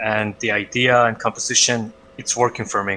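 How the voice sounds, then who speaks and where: With a non-native accent, a man speaks at a fairly slow pace. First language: not English. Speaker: art critique co-host. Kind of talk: live-stream art critique. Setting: live stream. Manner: hesitant, many filler uhs. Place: home room. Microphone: headset.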